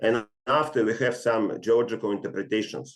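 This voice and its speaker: Speaking at a moderate pace, a man has a fairly low-pitched voice. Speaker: geophysicist presenter. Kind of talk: webinar lecture. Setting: online webinar. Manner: hesitant, many fillers.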